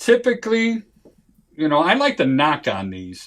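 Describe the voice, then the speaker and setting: The recording is very clean with a silent background. A man speaks fairly slowly, his pitch swinging very widely. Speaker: home inspector. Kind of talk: training seminar. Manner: halting.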